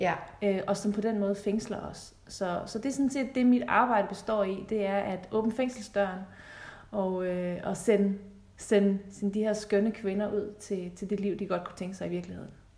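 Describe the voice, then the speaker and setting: Her tone is dark and mellow, somewhat breathy, and her intonation stays fairly even as this woman speaks. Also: medium pitch for a woman, moderate pace. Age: 30s. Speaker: relationship coach. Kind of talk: podcast interview.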